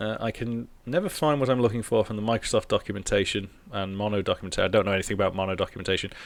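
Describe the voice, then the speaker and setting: A man speaks at a very fast pace with hardly any pauses. His fairly low voice shows ordinary pitch variation. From northern England, near Liverpool. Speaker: programming streamer. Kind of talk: live coding stream chat. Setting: live stream. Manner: relaxed, hesitant with fillers.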